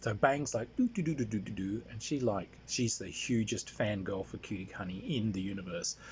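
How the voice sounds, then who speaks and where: A man talks at a moderate pace with hardly any pauses, his voice somewhat breathy. His pitch is medium, with ordinary variation. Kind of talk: casual anecdote monologue. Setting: handheld recording. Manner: halting, many fillers.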